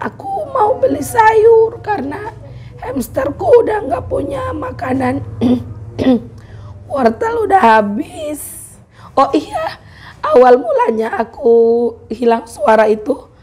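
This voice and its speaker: Against noticeable background noise, a woman with a high pitch speaks at a very slow pace with long, frequent pauses. Her pitch swings very widely. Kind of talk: casual vlog talk to camera.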